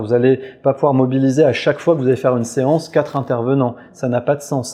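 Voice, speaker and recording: Speaking at a very fast pace, a man uses a medium pitch and a dark, mellow tone. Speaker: physician giving a clinical talk. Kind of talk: webinar lecture. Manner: hesitant, frequent euh fillers.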